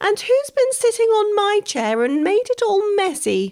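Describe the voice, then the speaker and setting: This squeaky voice is a put-on character voice. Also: woman, extremely high pitch for a woman, moderate pace. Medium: read story. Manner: crying out, indignant.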